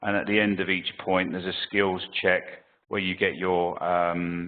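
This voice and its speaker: A man speaks with a very deep, low pitch at a moderate pace. His intonation stays monotone and flat. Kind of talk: webinar Q&A. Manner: halting, many fillers.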